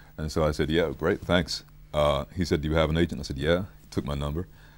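A man speaks very fast in a very deep, low voice with vocal fry and fairly even intonation. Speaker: voice actor. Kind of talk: interview answer. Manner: relaxed, casual. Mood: amused, storytelling. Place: studio. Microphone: lapel.

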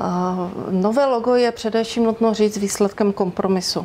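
At a moderate pace, a woman talks in a dark, mellow tone with a fairly high pitch. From Czechia, Ostrava (Moravian-Silesian region); Moravian-Silesian region, Czechia. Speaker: university press spokesperson. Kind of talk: interview. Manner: formal. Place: studio. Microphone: lapel.

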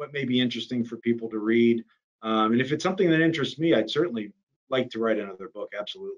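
Against a quiet background, a man speaks in an American accent with ordinary pitch variation. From US South, Miami, Florida; Florida. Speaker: defense attorney and author; defense attorney. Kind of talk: interview. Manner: halting, many fillers. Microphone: video call.

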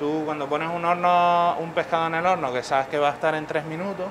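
A man at a fairly high pitch, fairly quick in pace, with fairly even intonation

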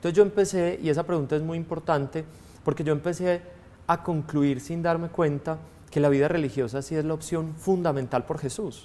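With a dark, mellow tone, a man talks at a fairly quick pace and fairly high pitch, using ordinary pitch variation. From Colombia, Antioquia (Girardota); Antioquia, Colombia. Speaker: priest. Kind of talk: testimony interview. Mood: warm, reflective. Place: studio.

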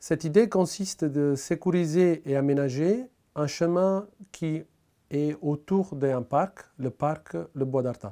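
Against a quiet background, the voice has a dark, mellow tone, ordinary pitch variation and a very slow pace. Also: man, fairly high pitch for a man. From Italy. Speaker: local resident presenting a civic project. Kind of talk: prepared pitch to camera. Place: home room. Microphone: lapel.

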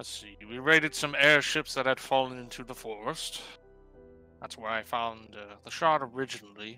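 A loud man's put-on character voice at a medium pitch and moderate pace, with faint music in the background. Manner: gruff, dismissive, careless.

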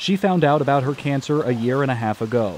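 A man speaks fairly quickly at a fairly high pitch in an unremarkable speaking voice. Light background noise sits behind him. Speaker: student news reporter. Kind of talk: news package narration.

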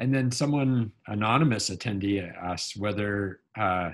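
A man's fairly low pitch with ordinary pitch variation against a quiet background. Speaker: scientist; seminar host moderating questions. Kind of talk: seminar hosting. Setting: video call. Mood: relaxed, informal. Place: home room. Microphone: video call.

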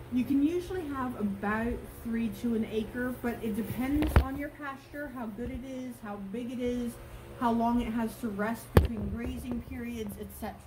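A woman speaks with ordinary pitch variation. Loud background noise surrounds her voice. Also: moderate pace. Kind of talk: tutorial. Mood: friendly, enthusiastic. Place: farm machine.

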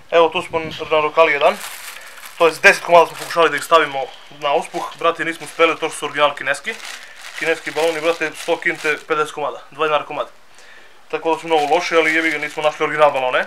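A man talks at a very fast pace in a monotone, flat intonation. Light background noise sits behind him. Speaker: experiment video host. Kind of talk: casual vlog chat. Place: garden.

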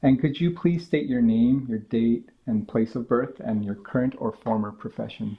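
A man with an ordinary speaking voice talks at a moderate pace and medium pitch, with ordinary pitch variation and hardly any pauses. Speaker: museum archivist. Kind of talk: oral history interview. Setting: at interviewee's home.

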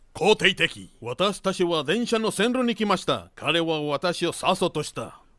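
Using a high pitch and a bright, sharp tone, a man talks at a fairly slow pace with hardly any pauses. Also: lively intonation, very clean recording, silent background. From Veracruz, Mexico. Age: 50s. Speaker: interviewee telling his life story. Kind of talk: storytelling.

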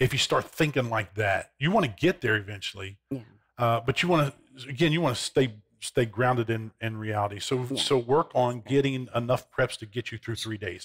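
A man speaks at a moderate pace in a somewhat breathy voice with ordinary pitch variation. The background is quiet. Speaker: guest. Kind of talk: interview answer. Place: studio. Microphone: headset.

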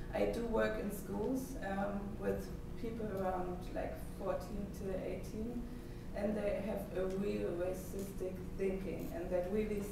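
A woman at a very slow pace, with long, frequent pauses, strong room echo and noticeable background noise. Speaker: speaker. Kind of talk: conference talk, speaking freely. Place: hall. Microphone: camera far.

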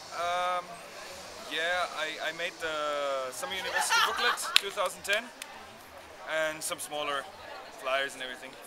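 With crowd noise in the background, a man in a fairly high pitch speaks with ordinary pitch variation and long, frequent pauses. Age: 20s. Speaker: student designer. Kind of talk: interview. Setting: outdoors. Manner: halting. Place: street. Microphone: phone near.

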